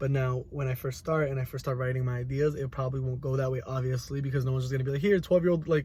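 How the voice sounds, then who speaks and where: Talking at a very fast pace with hardly any pauses, a man uses a somewhat breathy, dark and mellow voice of medium pitch and fairly even intonation. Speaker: college student. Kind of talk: reflective monologue. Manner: halting.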